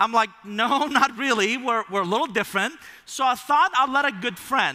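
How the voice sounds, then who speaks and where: A man speaks in an animated, lively way with an extremely high pitch, a bright, sharp tone, and a raised, projected voice at a moderate pace. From Iran. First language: Persian. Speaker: keynote speaker. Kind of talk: keynote speech. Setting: stage with audience.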